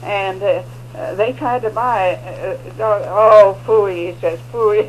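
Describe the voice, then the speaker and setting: A woman talks very slowly while noticeable background noise plays behind her. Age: 80s+. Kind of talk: interview answer. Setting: radio studio.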